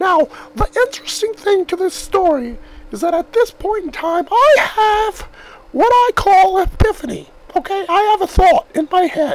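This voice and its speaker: At a moderate pace, the speaker talks in an extremely high pitch. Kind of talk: comic overacting. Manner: rambling, insistent, conspiratorial, repeats himself.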